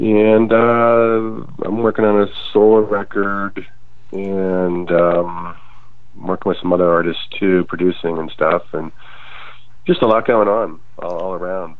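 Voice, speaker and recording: A man with a very deep, low pitch, ordinary pitch variation and a fairly slow pace, amid noticeable background noise. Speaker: musician, band frontman. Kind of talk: interview chat.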